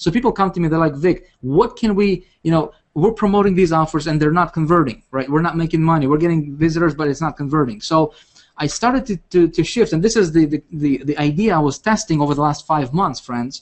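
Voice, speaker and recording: A man's fairly high voice with a non-native accent, ordinary pitch variation and a fairly quick pace. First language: not English. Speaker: internet marketing coach. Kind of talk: webinar presentation. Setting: video call. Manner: animated; halting.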